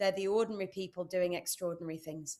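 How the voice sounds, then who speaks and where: A woman with a British accent. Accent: UK. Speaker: entrepreneur and speaker. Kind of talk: interview. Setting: live stream.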